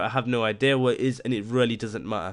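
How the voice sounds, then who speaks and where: Fairly even intonation in a man's mid-range voice. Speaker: online course instructor. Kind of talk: tutorial. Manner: fast; casual, with many fillers.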